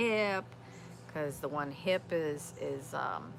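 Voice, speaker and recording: Her very deep, low pitch moves with lively intonation as a woman speaks amid audible room echo. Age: 50s. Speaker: outdoors vlogger. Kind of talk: casual live-stream chat. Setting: outdoors in backyard. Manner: halting, many fillers.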